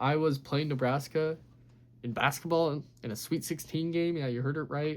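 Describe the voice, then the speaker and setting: He talks with intonation that stays fairly even from start to finish. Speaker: sports YouTuber. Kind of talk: casual sports recap monologue. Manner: fast.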